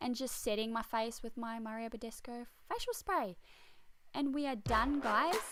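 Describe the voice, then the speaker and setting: Speaking at a fairly quick pace, a woman talks with an Australian accent. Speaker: beauty vlogger. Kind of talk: makeup tutorial voiceover. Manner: casual.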